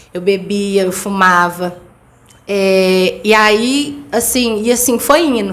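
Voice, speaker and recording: Over noticeable background noise and audible room echo, a woman speaks at a very slow pace with fairly even intonation. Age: 20s. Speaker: interview guest, mother and cleaning business owner. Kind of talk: testimony. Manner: direct.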